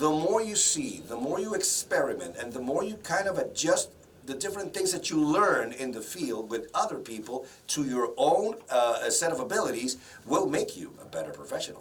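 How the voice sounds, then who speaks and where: Amid noticeable background noise and audible room echo, a man speaks with a strong Spanish accent. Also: moderate pace. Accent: heavy Spanish. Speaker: broadcaster and voice-over professional. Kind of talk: interview.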